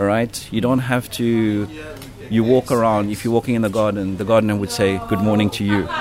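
A man's fairly low voice, monotone and flat, at a fairly quick pace over noticeable background noise. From South Africa. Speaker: hotel general manager. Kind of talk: interview. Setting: on location at a hotel. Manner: hesitant with many fillers.

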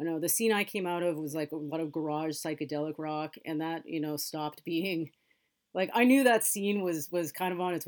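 Speaking at a fairly quick pace with a Californian accent, a woman has a very deep, low pitch in a very clean recording with a silent background. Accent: Californian American. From Los Angeles, US West Coast. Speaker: music journalist and editor. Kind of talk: interview conversation.

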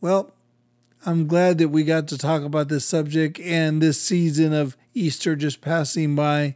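A normal speaking voice at a fairly slow pace, fairly even in intonation, on a very clean recording with a silent background. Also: man, fairly high pitch for a man. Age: 50s. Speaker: pastor and podcast co-host. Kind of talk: casual chat.

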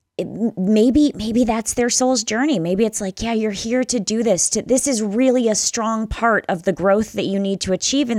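A woman's unremarkable speaking voice with an American accent, fairly high in pitch, at a moderate pace with ordinary pitch variation. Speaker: author, memoir writer.

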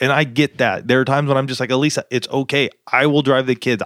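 In an ordinary speaking voice, a man talks at a fairly quick pace and medium pitch, the sound dry and close with no echo on a very clean recording with a silent background. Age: 40s. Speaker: marriage podcast co-host. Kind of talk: casual chat.

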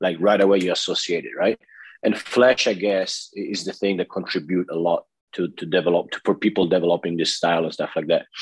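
Close and dry with no echo, a man with an Italian accent talks at a fairly quick pace. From Italy. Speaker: podcast host, interviewer. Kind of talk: casual interview. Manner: halting.

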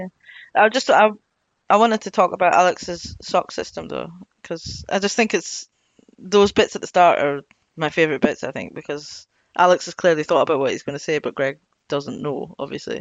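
Lively intonation in a Scottish accent, with big swings in loudness and a fairly quick pace. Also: woman, fairly low pitch for a woman. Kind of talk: casual chat.

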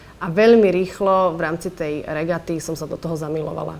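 In an unremarkable speaking voice, a woman talks at a moderate pace with a fairly low pitch and ordinary pitch variation. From Slovakia. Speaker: yachtswoman and financial advisor. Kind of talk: interview testimony.

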